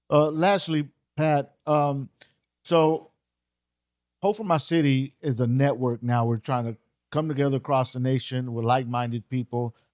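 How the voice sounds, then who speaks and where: Medium-pitched male speech at a moderate pace with ordinary pitch variation and long, frequent pauses, dry and close with no echo. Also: very clean recording, silent background. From Texas. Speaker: podcast host. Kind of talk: interview.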